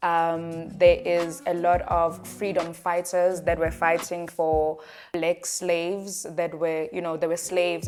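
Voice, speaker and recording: Music can be heard behind the voice. The talking proceeds at a fairly slow pace. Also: woman. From South Africa. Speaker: travel content creator. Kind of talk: casual talk to camera.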